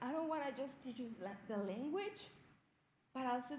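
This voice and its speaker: At a moderate pace, a woman speaks in a high pitch with very wide pitch swings. Audible room echo and noticeable background noise fill the recording. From Mexico, Jalisco. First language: Spanish. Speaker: Spanish teacher, student storyteller. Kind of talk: personal storytelling speech. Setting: stage with audience.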